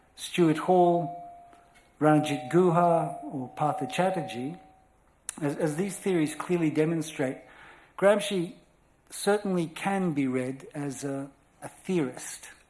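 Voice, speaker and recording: Speaking with an Australian accent, a man talks at a very slow pace in a high voice, with ordinary pitch variation and long, frequent pauses. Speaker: scholar lecturer. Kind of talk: lecture. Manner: formal.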